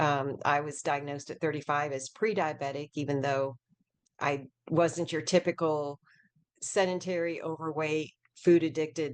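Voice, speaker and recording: Her pitch shifts in an ordinary way. The woman's voice is very deep and low. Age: 60s. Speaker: essential oil expert and author. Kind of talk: interview.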